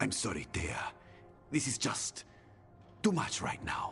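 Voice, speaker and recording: Over clear background music, a man uses a put-on character voice at a fairly slow pace. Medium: short film. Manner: evasive.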